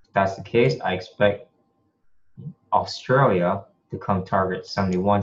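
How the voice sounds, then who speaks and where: This man's pitch sits fairly low. His voice is somewhat breathy. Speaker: forex trader. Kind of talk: tutorial. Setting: screen share recording at home.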